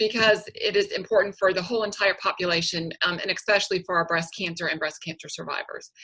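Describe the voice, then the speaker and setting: A woman talks at a very fast pace with hardly any pauses. Her pitch sits in the medium range. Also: fairly even intonation. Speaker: dietitian. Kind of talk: lecture. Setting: video call.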